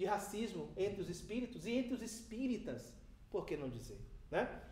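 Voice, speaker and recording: A man's high-pitched, animated voice with a Bahian accent, ordinary pitch variation and audible room echo. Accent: Bahian Brazilian Portuguese, kept. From Brazil, Bahia. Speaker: spiritist lecturer. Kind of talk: seminar lecture. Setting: spiritist centre seminar.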